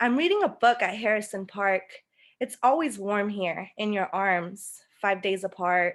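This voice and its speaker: At a fairly slow pace, a woman with a Spanish accent speaks at a medium pitch with ordinary pitch variation. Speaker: poet. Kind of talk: spoken word poetry.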